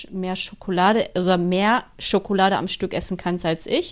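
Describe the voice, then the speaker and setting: A woman speaks in a flat monotone at a fairly slow pace in a very clean recording with a silent background. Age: 30s. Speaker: podcast co-host. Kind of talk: casual chat.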